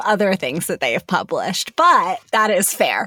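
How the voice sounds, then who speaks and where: Speaking at a moderate pace, a woman uses a normal speaking voice at a medium pitch with lively intonation. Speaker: podcast co-host. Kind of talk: casual chat podcast banter. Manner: joking, playful.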